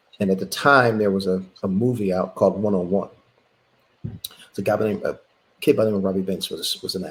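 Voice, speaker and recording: In a Philadelphia accent, a man speaks at a fairly low pitch with monotone, flat intonation. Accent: Philadelphia American. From Philadelphia, US. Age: 60s. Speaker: former college basketball player. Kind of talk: interview.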